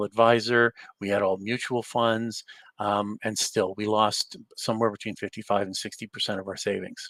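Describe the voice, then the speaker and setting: A man talks at a moderate pace in a fairly low, monotone, flat voice. The sound is dry and close with no echo. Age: 60s. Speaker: real estate investor and mentor. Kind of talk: webinar presentation.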